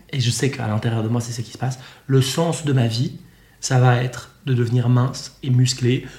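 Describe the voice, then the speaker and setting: A man talks at a moderate pace in a dark, mellow tone that is somewhat breathy. His intonation is monotone and flat. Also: medium pitch for a man. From Switzerland. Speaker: eating disorder coach. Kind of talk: casual chat. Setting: in person, sitting on a sofa.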